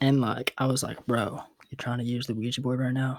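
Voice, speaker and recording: A soft-spoken man talks in a relaxed tone at a medium pitch, his intonation monotone and flat. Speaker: ASMR creator. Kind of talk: ASMR storytelling to camera, casual and unscripted. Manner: soft-spoken, relaxed, conversational.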